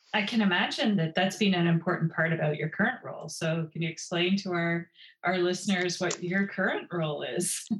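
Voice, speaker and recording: With fairly even intonation, a normal speaking voice goes along at a fairly quick pace. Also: woman, fairly low pitch for a woman. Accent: Canadian. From Ontario, Canada. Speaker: podcast host, military college graduate. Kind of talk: interview.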